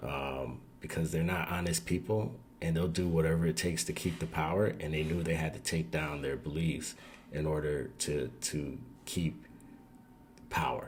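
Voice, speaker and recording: A man's very deep, low pitch with vocal fry and ordinary pitch variation. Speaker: video commentator. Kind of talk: casual commentary. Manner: slow.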